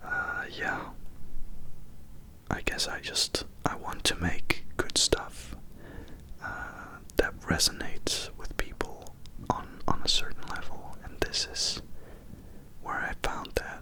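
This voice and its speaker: A man whispering at a very slow pace, with long, frequent pauses and noticeable background noise. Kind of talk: ASMR update talk to camera. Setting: binaural recording. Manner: whispered; slow, slightly woozy.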